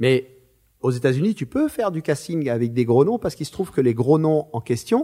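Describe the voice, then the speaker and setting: A man's fairly high, dark, mellow voice at a moderate pace, with lively intonation and a dry, close sound with no echo. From France, Marseille. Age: 50s. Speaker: screenwriter and film director. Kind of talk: interview. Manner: animated.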